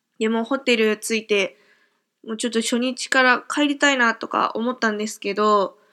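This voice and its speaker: A woman speaks with a bright, sharp tone at a fairly high pitch. Her intonation stays fairly even on a very clean recording with a silent background. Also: moderate pace. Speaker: podcaster. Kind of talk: casual monologue. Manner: filler-heavy, with frequent hesitations.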